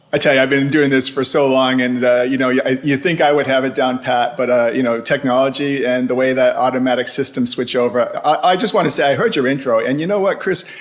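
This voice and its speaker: A man at medium pitch, very fast pace, hardly any pauses, very even loudness and fairly even intonation, with noticeable background noise. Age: 60s. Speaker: ocean shipping industry veteran. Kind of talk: casual interview. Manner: hesitant, many fillers.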